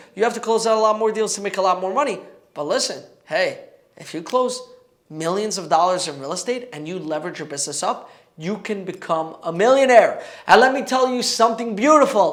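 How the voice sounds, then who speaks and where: A man speaks high and fairly quickly, in an animated tone with lively intonation. The room echo is audible. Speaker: real estate agent and YouTuber. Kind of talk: casual vlog talk to camera.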